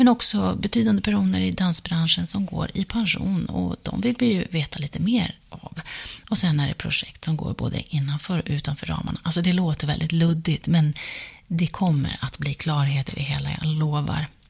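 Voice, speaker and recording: Over noticeable background noise, a woman with a very deep, low pitch talks at a fairly quick pace, her pitch swinging very widely. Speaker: podcast host, journalist and dancer. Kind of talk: podcast intro and outro.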